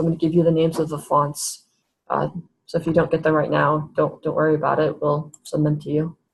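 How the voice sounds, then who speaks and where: A woman's very deep, low voice with vocal fry, monotone, flat intonation and a very fast pace. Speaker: webinar presenter. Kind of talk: tutorial.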